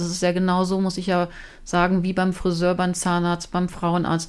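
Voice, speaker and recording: Talking at a fairly quick pace, a woman has an ordinary speaking voice at medium pitch. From Lower Saxony, Germany (Braunschweig). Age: 40s. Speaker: TV presenter. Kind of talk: casual interview chat. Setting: at home in her kitchen.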